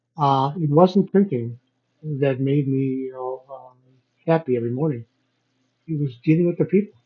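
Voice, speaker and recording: Speaking in an American accent, a man with a fairly high pitch and a somewhat breathy voice moves at a moderate pace, leaving long, frequent pauses, his pitch varying in an ordinary way. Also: big swings in loudness. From Chicago, US Midwest. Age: 70s. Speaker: business owner and entrepreneur. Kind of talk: interview conversation.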